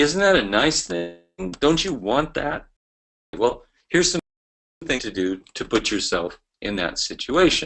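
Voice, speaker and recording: Using vocal fry, a man talks at a fairly slow pace and fairly high pitch with very wide pitch swings. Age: 60s. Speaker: network marketing trainer. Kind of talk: motivational business training talk. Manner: animated.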